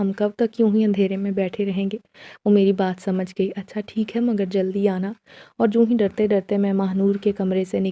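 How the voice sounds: What you hear is a natural reading voice.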